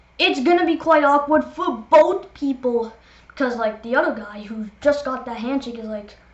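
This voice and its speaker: Amid noticeable background noise, a woman with a high pitch speaks at a moderate pace, with ordinary pitch variation and big swings in loudness. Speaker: gaming youtuber. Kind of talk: casual vlog monologue. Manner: rambling, filler-heavy.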